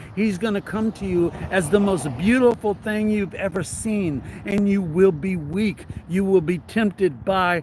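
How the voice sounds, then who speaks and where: A loud, high-pitched male voice at a fairly slow pace with ordinary pitch variation. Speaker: religious commentator, novelist. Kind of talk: reading aloud from own novel with commentary.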